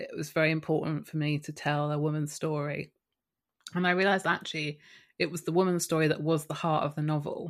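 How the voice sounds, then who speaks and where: Over a very clean recording with a silent background, a woman with a southern English accent speaks at a fairly quick pace in a very deep, low pitch with monotone, flat intonation. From Kent, south-east England. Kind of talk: interview conversation.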